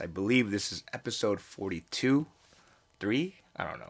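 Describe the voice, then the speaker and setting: Here a man speaks with an American accent. His voice is fairly low in pitch. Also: very clean recording, silent background. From United States. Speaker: podcast host. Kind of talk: casual chat.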